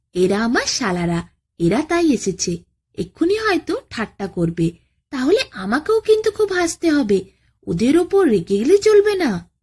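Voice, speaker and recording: A woman's high, put-on character voice with very wide pitch swings, at a fairly slow pace. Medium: read story. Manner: naive, boastful.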